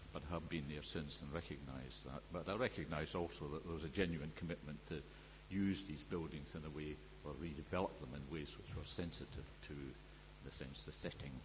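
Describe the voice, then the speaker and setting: Speech moves at a fairly quick pace with lively intonation and vocal fry. Audible room echo surrounds it. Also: man, very deep, low pitch for a man. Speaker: expert witness at a planning inquiry. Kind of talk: inquiry evidence and cross-examination. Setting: public inquiry hearing room. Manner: loud; formal.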